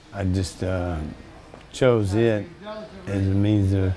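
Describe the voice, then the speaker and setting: Noticeable background noise and audible room echo surround a man with a fairly low voice. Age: 60s. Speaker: gym member. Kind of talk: documentary interview.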